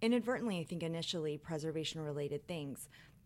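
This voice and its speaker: A woman with an American accent and ordinary pitch variation is heard on a very clean recording with a silent background. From Las Vegas, Nevada. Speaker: preservation consultant. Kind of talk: interview.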